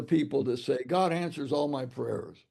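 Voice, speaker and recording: There is vocal fry in this man's voice. The rise and fall of his pitch is ordinary. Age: 80s+. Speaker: author and mission leader. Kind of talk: interview conversation. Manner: halting, many repetitions.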